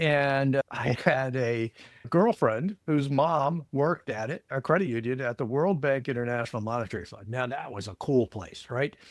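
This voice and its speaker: In an American accent, a man of medium pitch talks at a moderate pace with hardly any pauses, ordinary pitch variation and big swings in loudness, the sound dry and close with no echo. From US, Virginia (Alexandria). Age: 60s. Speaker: credit union consultant, former executive. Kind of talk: podcast interview. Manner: energetic.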